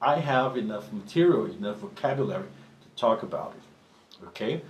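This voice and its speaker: A man's voice with very wide pitch swings and audible room echo. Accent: Portuguese. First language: Portuguese. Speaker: professional drummer and drum teacher. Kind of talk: tutorial. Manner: halting, with frequent restarts.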